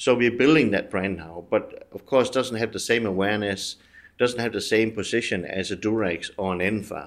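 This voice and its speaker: A man with a Danish accent, fairly low in pitch, at a moderate pace with ordinary pitch variation, on a very clean recording with a silent background. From Denmark. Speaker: business executive. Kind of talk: interview. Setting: studio.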